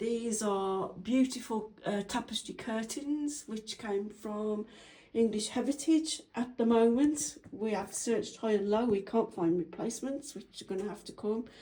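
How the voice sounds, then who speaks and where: A somewhat breathy, dark, mellow voice at a fairly slow pace, with hardly any pauses and ordinary pitch variation. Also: woman. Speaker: homeowner. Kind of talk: home tour video walkthrough. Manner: hesitant, many fillers.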